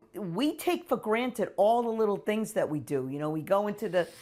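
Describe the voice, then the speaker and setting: Noticeable background noise sits under the voice. It moves at a moderate pace with very wide pitch swings. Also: woman. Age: 70s. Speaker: older adult interviewee. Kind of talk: documentary interview, casual.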